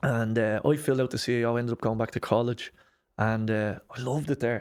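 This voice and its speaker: A man talks at a very fast pace with a Dublin accent and fairly even intonation. The recording is very clean, with a silent background. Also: medium pitch for a man. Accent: Dublin Irish. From Ireland, Dublin (Lucan). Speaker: breath work and mindset coach. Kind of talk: podcast interview.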